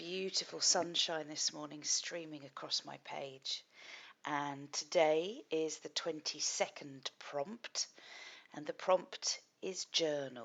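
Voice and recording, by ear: A husky, put-on character voice speaks at a fairly slow pace. Its pitch varies in an ordinary way. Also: woman, very deep, low pitch for a woman.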